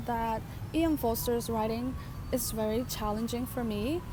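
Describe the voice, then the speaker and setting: The recording has noticeable background noise. Audible room echo can also be heard. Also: woman. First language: not English. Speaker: book vlogger. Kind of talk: casual vlog monologue. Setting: outdoors by a lake.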